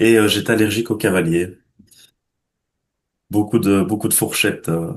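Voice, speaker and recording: A man talks at a moderate pace in a fairly low pitch with ordinary pitch variation. Long pauses come often. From Belgium. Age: 20s. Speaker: chess student giving testimonial. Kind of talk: interview testimony. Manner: hesitant, many filler words.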